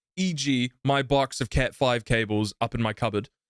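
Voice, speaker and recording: A man with a New Zealand accent, dry and close with no echo. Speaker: streamer and podcast co-host. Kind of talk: casual chat. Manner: loud.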